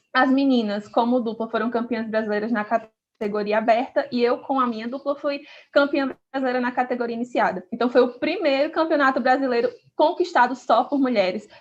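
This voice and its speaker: Speaking fairly quickly with a northeastern Brazilian accent, a woman uses a high voice with ordinary pitch variation. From Brazil, Northeast. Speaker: podcast co-host, activist. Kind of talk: casual podcast introduction.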